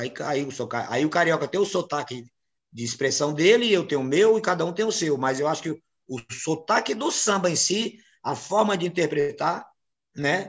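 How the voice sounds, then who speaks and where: A man's fairly high voice in a strong northeastern Brazilian accent, lively in intonation, at a moderate pace, over a quiet background. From Brazilian Northeast. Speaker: samba composer and singer; interviewee. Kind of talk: interview. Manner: halting, many repetitions. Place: home room. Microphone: video call.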